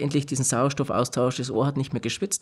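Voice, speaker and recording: A man's fairly high voice with fairly even intonation against a quiet background. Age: 30s. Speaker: hearing technology company technical manager. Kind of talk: interview. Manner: halting, many filler sounds. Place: studio. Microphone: studio mic.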